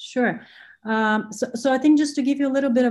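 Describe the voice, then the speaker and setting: A somewhat breathy woman speaks at a moderate pace with ordinary pitch variation. The background is quiet. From Bulgaria. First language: Bulgarian. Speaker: venture capital investor. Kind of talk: interview. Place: home room. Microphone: video call.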